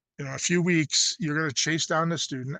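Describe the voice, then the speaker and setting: A man speaks with ordinary pitch variation in a dry, close recording that has no echo. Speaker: state education coordinator, webinar presenter. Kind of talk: webinar presentation. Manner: fast; casual, many fillers.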